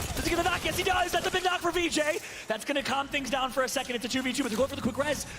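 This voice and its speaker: An extremely high-pitched male voice at a very fast pace, over noticeable background noise. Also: ordinary pitch variation. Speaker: esports caster. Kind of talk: live commentary. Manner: animated; whispering briefly.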